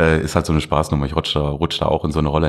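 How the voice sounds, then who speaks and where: A man speaks over noticeable background noise. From Duisburg, Ruhr area, Germany. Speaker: artist and art festival organizer. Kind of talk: casual interview.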